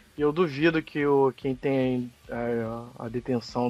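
A man at medium pitch with fairly even intonation. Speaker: podcast guest, film and series commentator. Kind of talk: casual chat.

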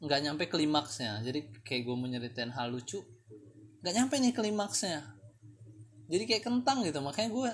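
Somewhat breathy at a moderate pace, the voice makes very wide pitch swings. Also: man, fairly high pitch for a man. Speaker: solo podcast host. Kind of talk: casual monologue. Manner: halting.

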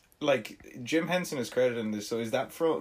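A man speaks at a fairly quick pace with ordinary pitch variation. He has a normal speaking voice. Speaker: podcast co-host. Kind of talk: casual comedic chat.

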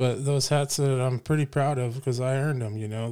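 A man with an American accent speaks at a moderate pace in a relaxed, dark, mellow tone with monotone, flat intonation, on a very clean recording with a silent background. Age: 30s. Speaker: podcast host, welder. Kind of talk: casual monologue. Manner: relaxed, with fillers.

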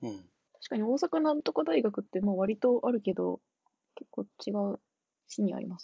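A woman speaks at a fairly quick pace in a dry, close recording with no echo. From Tochigi. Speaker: returning podcast guest. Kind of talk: casual chat.

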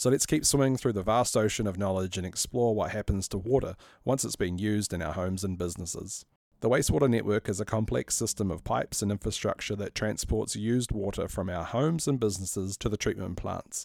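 A man with a New Zealand accent, very fast and fairly low in pitch, with ordinary pitch variation, the sound dry and close with no echo, in a very clean recording with a silent background. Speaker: city councillor and podcast host. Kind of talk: scripted narration.

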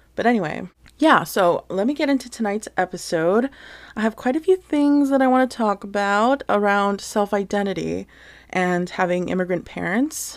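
A woman talks in a normal speaking voice with lively intonation. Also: medium pitch for a woman, moderate pace. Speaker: podcast host. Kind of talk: casual solo podcast monologue. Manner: chatty, sincere.

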